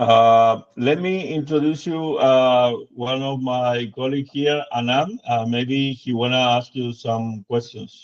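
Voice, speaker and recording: A man speaks at a very slow pace with hardly any pauses and fairly even intonation. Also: medium pitch for a man. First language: Spanish. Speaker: product demonstrator. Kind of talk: product demo in a video call. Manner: halting, many fillers.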